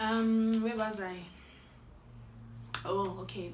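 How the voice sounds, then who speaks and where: Noticeable background noise and audible room echo surround the speaker. A woman talks in an animated tone. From South Africa. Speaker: YouTuber. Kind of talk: tutorial.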